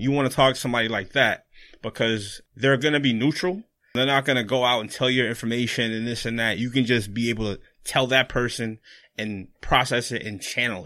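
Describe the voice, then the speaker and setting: On a very clean recording with a silent background, a man with an American accent talks fairly quickly at a medium pitch, using fairly even intonation and a bright, sharp tone. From Florida. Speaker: clinical social worker. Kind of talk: casual chat.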